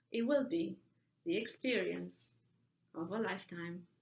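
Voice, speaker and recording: With vocal fry and very wide pitch swings, a woman talks at a very slow pace. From Romania. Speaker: poet. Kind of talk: poetry reading.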